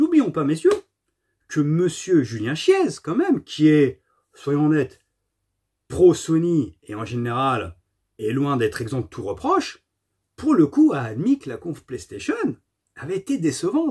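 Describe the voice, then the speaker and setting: Big swings in loudness mark this man's speech, which comes at a fairly slow pace with long, frequent pauses. The background is quiet. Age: 40s. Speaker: gaming YouTuber. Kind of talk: casual monologue to camera. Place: home room. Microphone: phone near.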